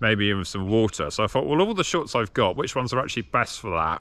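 The sound is dry, with no echo. A man speaks at a fairly low pitch. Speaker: running vlogger. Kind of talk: casual vlog chat. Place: open country. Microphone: phone near.

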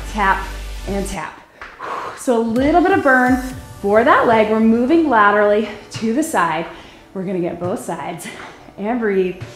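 Faint music plays in the background while a woman speaks at a moderate pace with long, frequent pauses and audible room echo. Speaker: fitness instructor. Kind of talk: workout instruction. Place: gym.

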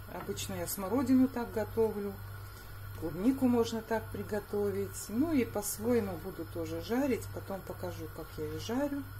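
A woman talks at a moderate pace with big swings in loudness. There is light background noise. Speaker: home cook vlogger. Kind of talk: casual cooking vlog chat. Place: kitchen. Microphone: phone near.

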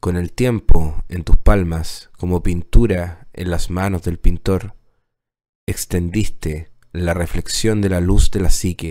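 A man speaks very slowly in a very deep, low pitch, with a dark, mellow tone and a solemn tone. His loudness swings widely. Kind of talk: poem performed as solemn tribute. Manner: solemn, reverent, slow and measured; heartfelt, declamatory with pauses.

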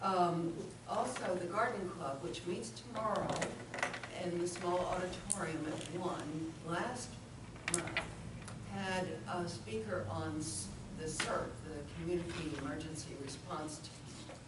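Against loud background noise and audible room echo, a woman speaks at a fairly slow pace with long, frequent pauses. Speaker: city councilor. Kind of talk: council meeting report. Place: hall. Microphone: camera far.

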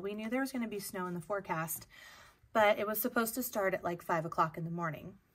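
A woman is speaking. She uses ordinary pitch variation. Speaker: teacher. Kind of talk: casual vlog chat. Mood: cheerful, laughing. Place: classroom. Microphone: earbuds.

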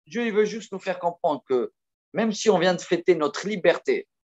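With a quiet background behind him, the man talks at a moderate pace. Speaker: religious teacher. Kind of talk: sermon. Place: home room. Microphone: video call.

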